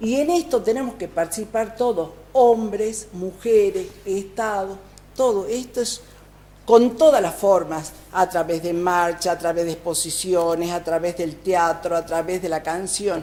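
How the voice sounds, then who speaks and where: A woman talks at a fairly slow pace with medium pitch and ordinary pitch variation. It is a plain, everyday voice. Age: 60s. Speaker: provincial legislator. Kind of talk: TV interview.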